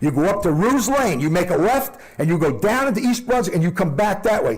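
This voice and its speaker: Animated in tone, the speaker talks at a fairly quick pace with very wide pitch swings, in a room with audible echo. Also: man. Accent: New Jersey. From New Jersey. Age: 60s. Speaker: resident speaking at public comment. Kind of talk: public comment at council meeting.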